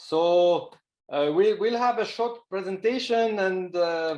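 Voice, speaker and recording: A man with a Swiss accent speaks very slowly in a high-pitched voice. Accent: French-speaking Swiss. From Switzerland, French-speaking. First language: French. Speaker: professor. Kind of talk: webinar presentation.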